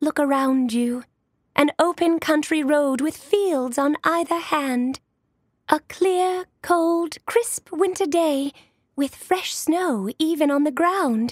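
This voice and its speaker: This put-on character voice moves at a very slow pace. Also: woman, high pitch for a woman. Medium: read story.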